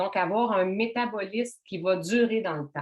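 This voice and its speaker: A woman with a Quebec accent speaks at a medium pitch. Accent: Québécois French. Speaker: wellness workshop host. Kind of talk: online workshop presentation. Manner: casual, conversational.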